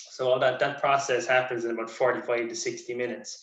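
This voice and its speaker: Bright and sharp in tone, the man's voice sits at a medium pitch. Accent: Irish. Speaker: sports nutritionist. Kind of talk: lecture. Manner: fast.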